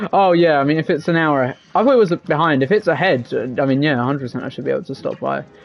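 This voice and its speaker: With a British accent, a man with a fairly high pitch talks at a very fast pace. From England. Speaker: gaming streamer. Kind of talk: live gaming stream chat. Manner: casual, hesitant with fillers.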